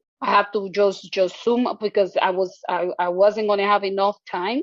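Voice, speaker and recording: This woman has a non-native accent. She talks at a fairly slow pace. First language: not English. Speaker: social work exam taker. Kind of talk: testimony. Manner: halting, many repetitions.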